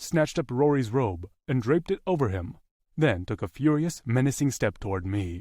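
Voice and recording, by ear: The background is quiet as a natural voice reads aloud with lively intonation.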